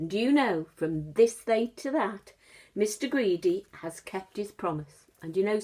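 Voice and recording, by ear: The text is read aloud in a natural voice, the intonation lively throughout.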